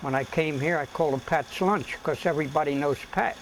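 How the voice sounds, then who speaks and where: Noticeable background noise runs under the speech. The pace is fairly quick. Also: man. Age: 80s+. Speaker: food stand owner. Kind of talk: documentary interview.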